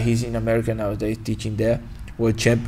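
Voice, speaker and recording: With noticeable background noise behind him, a man talks in a Brazilian Portuguese accent. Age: 20s. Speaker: martial arts instructor. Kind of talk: podcast interview. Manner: halting.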